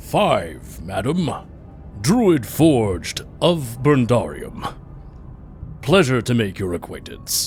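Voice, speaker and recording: In a put-on character voice, a man at a medium pitch talks at a very slow pace with long, frequent pauses against clear background noise. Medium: actual play. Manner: formal, polite.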